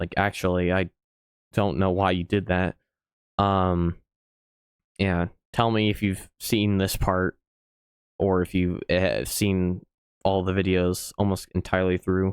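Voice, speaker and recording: In a very clean recording with a silent background, a man speaks at a fairly slow pace with long, frequent pauses, very even loudness, and a very deep, low pitch in monotone, flat intonation. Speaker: YouTube reaction creator. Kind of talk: casual reaction commentary. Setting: home recording, live recorded. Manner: low and monotone; halting, many fillers.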